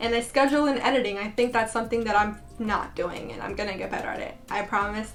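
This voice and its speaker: Over music in the background and audible room echo, a woman with a fairly high pitch talks at a very fast pace with fairly even intonation and hardly any pauses. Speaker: beauty vlogger. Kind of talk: casual vlog tutorial.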